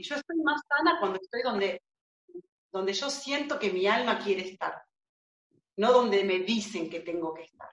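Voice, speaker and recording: A woman's fairly high voice in a provincial Argentine accent at a moderate pace, with very wide pitch swings, big swings in loudness and long, frequent pauses, dry and close with no echo. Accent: provincial Argentine, drops S sounds. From Argentina, Buenos Aires province. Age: 40s. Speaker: body-reading therapist and doula. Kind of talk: casual interview chat.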